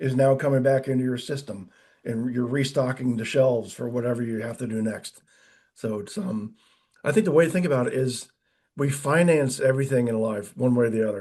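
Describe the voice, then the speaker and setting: The voice has a dark, mellow tone and moves at a fairly quick pace with ordinary pitch variation. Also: man, medium pitch for a man. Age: 60s. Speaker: insurance and finance advisor. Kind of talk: interview. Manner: casual, hesitant with many fillers.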